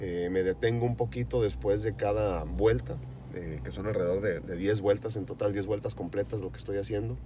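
Very deep and low, a man's voice moves at a fairly quick pace with very wide pitch swings. The sound is dry with no echo, and there is noticeable background noise. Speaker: vlogger on a fitness journey. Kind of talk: casual vlog chat. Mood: upbeat, grateful. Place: car. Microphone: phone near.

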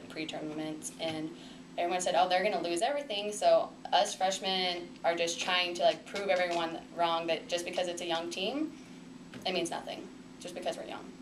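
Noticeable background noise sits behind a woman speaking at a moderate pace. Her fairly low pitch varies in an ordinary way. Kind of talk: interview answer. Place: meeting room.

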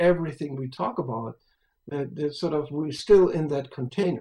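A man's fairly high voice, dark and mellow in tone, with ordinary pitch variation. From Europe. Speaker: spiritual speaker; speaker. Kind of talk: interview conversation. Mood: reflective, earnest. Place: home room. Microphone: webcam.

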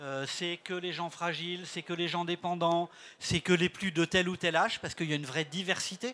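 The man talks at a moderate pace with a high pitch and a bright, sharp tone. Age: 60s. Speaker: director of a senior-friendly cities network; panel expert. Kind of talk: panel interview. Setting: stage with audience. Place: stage. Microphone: handheld.

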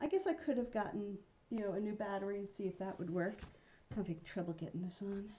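Speaking at a very fast pace, a woman has a medium pitch with ordinary variation. Her tone is dark, mellow, and somewhat breathy. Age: 50s. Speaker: vlogger. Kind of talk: casual vlog.

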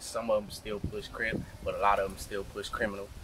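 Light background noise sits behind a man speaking with an American accent. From South Central Los Angeles. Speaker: rapper. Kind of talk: casual street interview. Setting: outdoors walking on street. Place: street.

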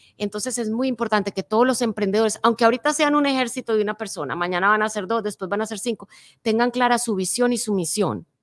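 The voice belongs to a woman with a fairly high pitch that varies in an ordinary way. She talks at a very fast pace. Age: 50s. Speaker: motivational speaker. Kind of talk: interview. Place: studio. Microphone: studio mic.

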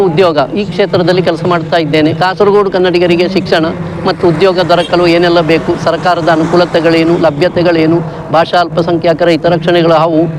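Over noticeable background noise, a man with a high voice speaks at a very even loudness. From Kasaragod, Kerala. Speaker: retired civil servant and author. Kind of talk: interview.

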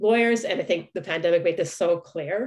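Against a quiet background, a woman speaks at a moderate pace in a normal speaking voice with ordinary pitch variation. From Canada. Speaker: law professor; law lecturer. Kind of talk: lecture. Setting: video call. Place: home room. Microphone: webcam.

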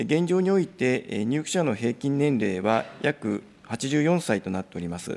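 Speaking fairly slowly, a man keeps his voice at a medium pitch. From Japan. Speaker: government official. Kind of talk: formal parliamentary answer. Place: hall. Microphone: podium.

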